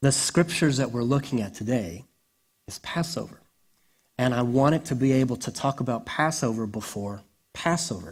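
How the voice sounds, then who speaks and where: Over a silent background on a very clean recording, a man speaks at a medium pitch, somewhat breathy, with lively intonation. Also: moderate pace. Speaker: pastor. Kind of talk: sermon.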